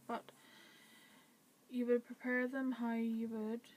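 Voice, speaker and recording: The intonation stays monotone and flat. Delivery runs at a moderate pace. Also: woman. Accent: Northern Irish. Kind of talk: casual talk to camera.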